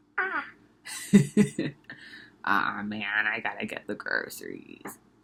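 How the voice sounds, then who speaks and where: A man's put-on character voice, raspy and at a fairly slow pace. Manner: grumbling.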